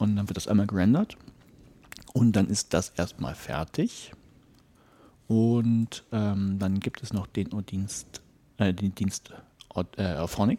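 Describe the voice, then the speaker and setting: A man mumbles at a very slow pace in a dark, mellow tone, with long, frequent pauses. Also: fairly low pitch for a man, ordinary pitch variation. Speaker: podcaster. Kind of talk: casual chat. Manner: mumbling.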